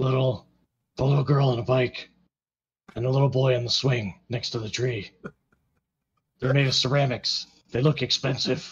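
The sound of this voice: A man's put-on character voice, raspy and gravelly, at medium pitch and moderate pace, with fairly even intonation and long, frequent pauses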